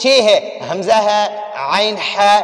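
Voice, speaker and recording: Over noticeable background noise, a man talks in a high voice with fairly even intonation. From Pakistan. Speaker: Quran teacher and reciter. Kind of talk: religious lesson to camera.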